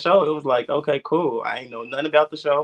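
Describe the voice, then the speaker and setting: His pitch sits fairly high for a man. This man speaks at a fairly quick pace. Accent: American. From Chicago south suburbs. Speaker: reality TV personality. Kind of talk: casual interview.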